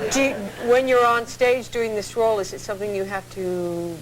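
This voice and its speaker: A woman talks at a moderate speed while noticeable background noise and audible room echo fill the recording. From southern England. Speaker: talk show host. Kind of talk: talk show interview. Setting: TV studio.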